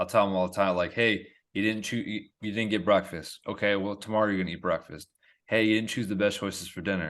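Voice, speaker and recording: In a monotone, flat delivery, a man with a fairly low pitch speaks at a very fast pace. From Endicott, upstate New York. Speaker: podcast host, dietitian. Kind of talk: podcast interview.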